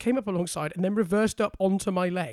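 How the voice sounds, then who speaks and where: A high-pitched man with a British accent. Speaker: podcast co-host. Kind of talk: casual banter chat.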